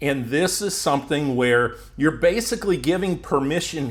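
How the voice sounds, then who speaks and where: A man's fairly high, normal speaking voice with an American accent, at a fairly slow pace. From United States. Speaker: YouTube growth coach. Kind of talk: tutorial.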